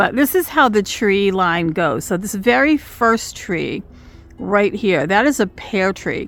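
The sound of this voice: A woman puts on a hoarse character voice of medium pitch, speaking fairly slowly with lively intonation.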